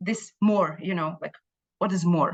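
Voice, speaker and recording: With an Israeli accent, a woman speaks at a medium pitch with ordinary pitch variation. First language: Hebrew. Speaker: Israeli consulate official. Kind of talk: community briefing talk. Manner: halting, many fillers and repetitions.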